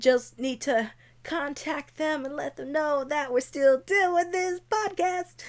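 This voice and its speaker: You can hear a woman talking. Her pitch rises and falls in an ordinary way. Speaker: podcast host. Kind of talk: casual solo podcast. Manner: rambling, casual.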